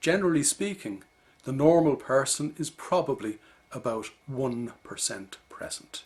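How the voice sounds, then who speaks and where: A man with a fairly high voice talks at a fairly slow pace with lively intonation. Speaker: leadership coach. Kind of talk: video lecture. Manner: measured, explanatory.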